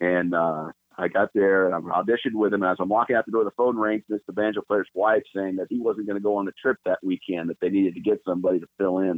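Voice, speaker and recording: Speaking very fast with hardly any pauses, a man with an American accent uses a fairly low pitch. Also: fairly even intonation. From California, Los Angeles. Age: 50s. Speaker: bluegrass bass player. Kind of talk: casual chat.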